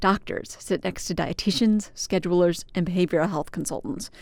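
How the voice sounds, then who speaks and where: Ordinary pitch variation runs through an unremarkable speaking voice in a very clean recording with a silent background. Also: woman. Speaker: public radio reporter. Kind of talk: radio news feature narration.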